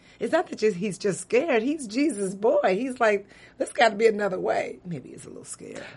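A woman's fairly high, somewhat breathy voice with an American accent, lively intonation, big swings in loudness and a fairly quick pace. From US Midwest, Detroit. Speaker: actress. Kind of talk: casual interview. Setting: studio.

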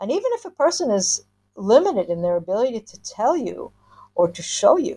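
The woman talks at a moderate pace. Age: 50s. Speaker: author. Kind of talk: interview. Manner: halting, many fillers.

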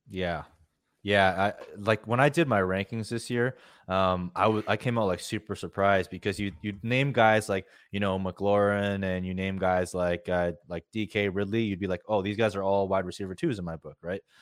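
An unremarkable speaking voice at a moderate pace, with fairly even intonation, a dry, close sound with no echo, and a very clean recording over a silent background. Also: man, fairly low pitch for a man. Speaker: fantasy football writer. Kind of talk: casual chat.

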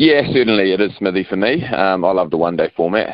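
In a New Zealand accent, a man speaks with a very deep, low voice. His pace is moderate, with ordinary pitch variation. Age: 30s. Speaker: professional cricketer. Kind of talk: radio interview.

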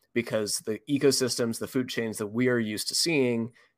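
On a very clean recording with a silent background, a man with a medium pitch and an ordinary speaking voice talks at a moderate pace with fairly even intonation. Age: 20s. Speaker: paleontologist. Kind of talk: casual chat.

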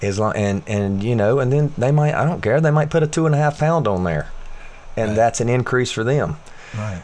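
An ordinary speaking voice from a man with an American accent, medium in pitch, moderate in pace, with lively intonation. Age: 40s. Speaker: fitness coach. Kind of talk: casual chat.

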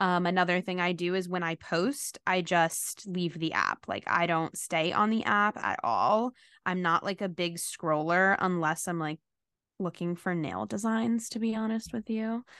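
A woman with an American accent speaks at a fairly slow pace in a bright, sharp tone, her medium pitch showing ordinary variation. The sound is dry and close with no echo, against a quiet background. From New York City. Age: 20s. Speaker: content creator and chronic illness advocate. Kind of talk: podcast interview.

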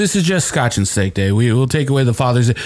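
Lively intonation from a man with a normal speaking voice, pitched at a medium level. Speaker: podcast host. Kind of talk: casual comedy podcast banter. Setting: studio.

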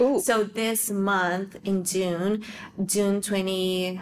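A woman with a Portuguese accent speaks in a medium pitch with fairly even intonation on a very clean recording with a silent background. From southern Brazil. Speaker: nonprofit executive director. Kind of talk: interview.

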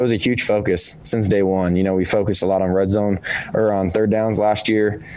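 Delivered at a fairly quick pace with fairly even intonation, the speech carries audible room echo over noticeable background noise. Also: man, fairly low pitch for a man. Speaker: college football quarterback. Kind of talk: press conference.

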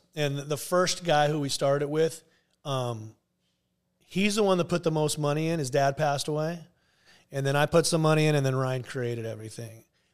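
A man with an American accent speaks at a fairly quick pace in a fairly high pitch, his pitch varying in an ordinary way, on a very clean recording with a silent background. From Southern California (Garden Grove). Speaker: clothing company co-founder. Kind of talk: casual interview chat.

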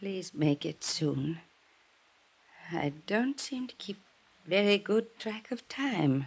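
This is a put-on character voice with a slightly husky edge. It moves at a slow pace. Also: woman, medium pitch for a woman, lively intonation.

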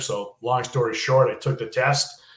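A somewhat breathy male voice at a medium pitch. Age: 50s. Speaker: criminal justice professor and retired corrections officer. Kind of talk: casual interview.

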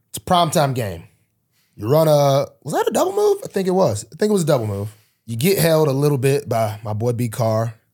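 A man speaks at a fairly quick pace and fairly high pitch, somewhat breathy, with very wide pitch swings. The recording is very clean, with a silent background. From Alabama. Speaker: football player and co-host. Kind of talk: casual chat.

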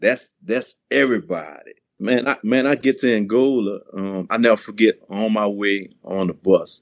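A man with a strong Louisiana accent, fairly low in pitch with ordinary variation, hardly any pauses, over a quiet background. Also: moderate pace. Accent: thick Louisiana. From New Orleans, Louisiana. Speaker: author and former prisoner. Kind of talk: interview testimony.

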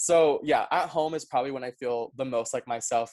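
A man with an American accent and an unremarkable speaking voice talks at medium pitch and a fairly quick pace against a quiet background. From Queens, New York City. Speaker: advertising professional. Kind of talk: casual interview.

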